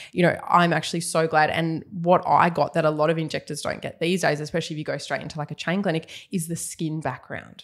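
Very fast and fairly even in intonation, a woman speaks with an Australian accent at a fairly low pitch. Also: hardly any pauses. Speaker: nurse and cosmetic injector, podcast host. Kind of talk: casual interview chat. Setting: studio, video podcast.

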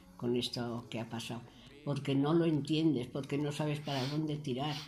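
A woman speaks fairly slowly with a very deep, low pitch and fairly even intonation, her tone dark, mellow and somewhat breathy. Audible room echo surrounds her voice. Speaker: care home resident. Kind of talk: radio interview.

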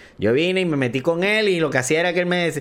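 A man talks with lively intonation in a high-pitched voice. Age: 30s. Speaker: podcast host and esports caster. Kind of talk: casual chat.

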